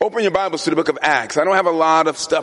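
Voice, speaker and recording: A man's fairly high-pitched voice over noticeable background noise. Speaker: guest preacher. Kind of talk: sermon. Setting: church. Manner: loud, yelling.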